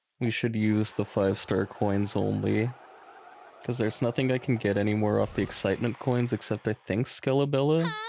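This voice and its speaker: A man's fairly low voice at very even loudness, with noticeable background noise. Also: ordinary pitch variation, moderate pace. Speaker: gaming streamer. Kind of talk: live stream commentary. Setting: live stream.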